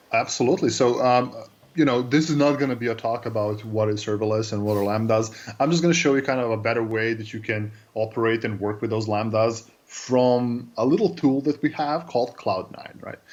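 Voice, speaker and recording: Speaking at a fairly quick pace with a Serbian accent, a man uses a medium pitch with ordinary variation. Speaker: cloud developer advocate. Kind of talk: interview. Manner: hesitant, many fillers.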